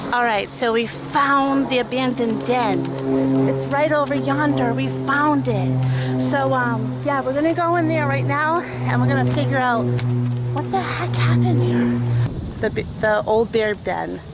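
A woman speaks at a fairly slow pace over loud music in the background. The sound is dry, with no echo. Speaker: vlogger. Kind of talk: casual vlog chat. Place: open country. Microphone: phone near.

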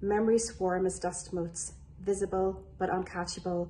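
A woman speaks with a Northern Irish accent and a somewhat breathy quality. Light background noise is audible. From Northern Ireland, Lurgan, County Armagh; Northern Ireland. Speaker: business development executive. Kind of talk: poetry reading. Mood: calm, reflective, measured. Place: home room. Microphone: phone near.

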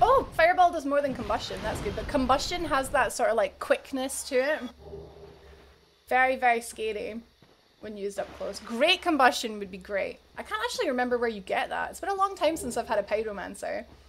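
Over light background noise, a woman speaks in an upbeat tone at a high pitch, with very wide pitch swings and big swings in loudness. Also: fairly quick pace. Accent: Scottish. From Scotland. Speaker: game streamer. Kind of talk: casual livestream gaming commentary. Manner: chatty, upbeat.

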